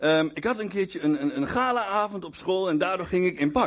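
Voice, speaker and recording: A man at a high pitch, with ordinary pitch variation and a moderate pace. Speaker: guest preacher. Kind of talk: sermon. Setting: church with congregation. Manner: halting, with many repeated words and fillers.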